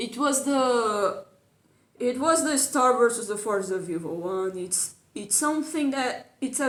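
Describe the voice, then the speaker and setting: A woman with a non-native accent, high-pitched and lively in intonation, at a fairly slow pace. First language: not English. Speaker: YouTube cartoon commentator. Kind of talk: casual video commentary. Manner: hesitant, repeats words.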